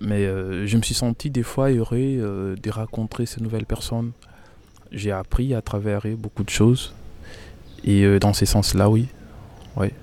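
In a very clean recording with a silent background, a man with a dark, mellow tone and fairly low pitch speaks at a very slow pace, using fairly even intonation and long, frequent pauses. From DR Congo, Kinshasa. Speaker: asylum seeker, engineer. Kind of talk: interview testimony. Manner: hesitant, many fillers.

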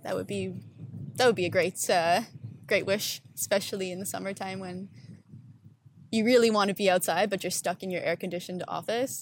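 Speaking in a Canadian accent with vocal fry, a woman moves at a fairly quick pace, with long, frequent pauses and big swings in loudness. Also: medium pitch for a woman, ordinary pitch variation. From Ontario, Canada. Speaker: urban placemaking entrepreneur. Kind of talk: casual interview. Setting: outdoors on a public bench.

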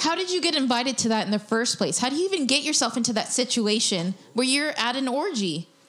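With noticeable background noise behind her, a woman talks very fast with hardly any pauses, her high voice making very wide pitch swings while her loudness stays very even. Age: 20s. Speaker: comedian and podcast co-host. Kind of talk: casual chat. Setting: studio.

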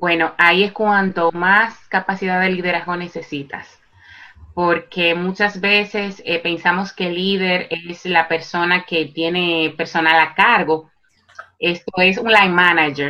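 A woman with a fairly low pitch and a bright, sharp tone talks at a fairly slow pace with fairly even intonation. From Dominican Republic, Santo Domingo. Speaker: psychologist and life coach. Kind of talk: interview. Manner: halting, with repetitions and fillers.

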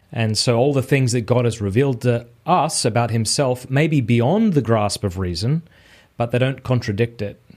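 A man's medium-pitched voice comes through in a very clean recording with a silent background. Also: ordinary pitch variation, moderate pace. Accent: Australian. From Australia. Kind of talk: casual interview chat. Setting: call.

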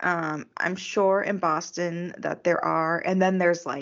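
This woman's voice has a fairly low pitch. She speaks in a flat monotone. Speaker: podcast co-host. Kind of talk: casual chat.

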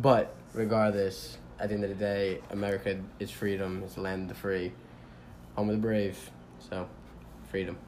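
Audible room echo surrounds a man's fairly low voice as he talks at a moderate pace with ordinary pitch variation and long, frequent pauses. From New York City (Manhattan). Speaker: interviewee. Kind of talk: interview.

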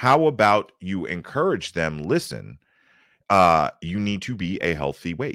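A man with a very deep, low pitch speaks at a fairly slow pace with very wide pitch swings, in a very clean recording with a silent background. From Baltimore, Maryland. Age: 40s. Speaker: YouTube content creator. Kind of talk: casual interview.

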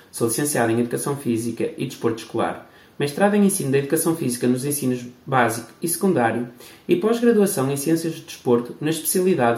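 A man talks at a very fast pace with lively intonation. His voice is fairly high in pitch and somewhat breathy. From Portugal, Barcelos (Minho). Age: 30s. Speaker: podcast host, PE teacher and futsal coach. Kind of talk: scripted introduction.

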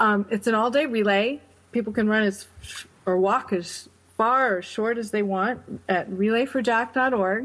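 With an American accent, a woman talks at a moderate pace in an ordinary speaking voice, fairly high in pitch and fairly even in intonation. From upstate New York. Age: 40s. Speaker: charity founder, bereaved mother. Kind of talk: interview.

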